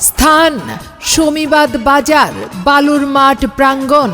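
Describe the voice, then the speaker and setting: An energetic, high-pitched woman's voice over music in the background. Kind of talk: loudspeaker market announcement. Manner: loud, energetic.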